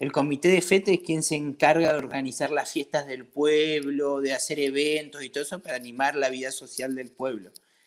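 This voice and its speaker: Speaking at a fairly quick pace, a man with an Argentine accent keeps a fairly high pitch and fairly even intonation. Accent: Argentine, noticeable to French locals. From Argentina, Patagonia (Comodoro Rivadavia). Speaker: brewery owner, emigrant. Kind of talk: casual interview.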